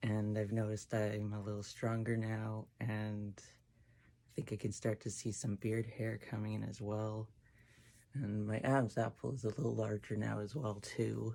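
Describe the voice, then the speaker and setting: A man with a fairly low pitch and dark, mellow tone at a moderate pace, monotone, flat intonation, on a very clean recording with a silent background. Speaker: transmasculine person documenting voice changes on testosterone. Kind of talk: casual talk to camera.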